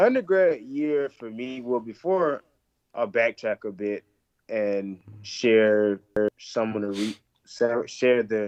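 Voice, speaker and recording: In a dry, close sound with no echo, a medium-pitched man talks very slowly with lively intonation and long, frequent pauses. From Alabama, US South. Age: 20s. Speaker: physical therapy student. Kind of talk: interview.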